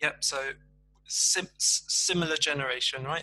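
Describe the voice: At a fairly slow pace, a man talks in a fairly high pitch with a bright, sharp tone. His pitch variation is ordinary.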